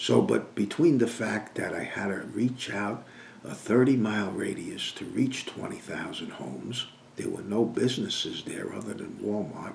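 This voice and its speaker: Big swings in loudness mark a man's moderate-paced speech in a New York accent, with room echo audible. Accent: Northern US (New York). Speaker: business coach. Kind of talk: sales pitch.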